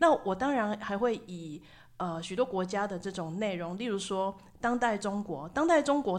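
In a Taiwanese accent, a woman speaks at a medium pitch with lively intonation. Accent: Taiwanese Mandarin. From Taiwan, Tainan. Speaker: university sociology professor. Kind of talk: interview. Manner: animated.

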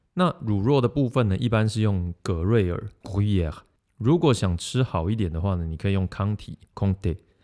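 Captured in a very clean recording with a silent background, a man talks at a fairly quick pace in a dark, mellow tone with ordinary pitch variation. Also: fairly low pitch for a man. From Taiwan, Yunlin. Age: 30s. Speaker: podcast host. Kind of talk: casual monologue about food and stories.

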